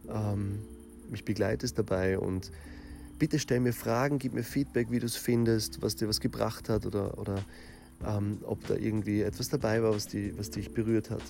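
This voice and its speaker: A man talks at a fairly slow pace in a dark, mellow tone. His pitch is fairly low, and his intonation is lively. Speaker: life coach and podcast host. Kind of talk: solo podcast monologue.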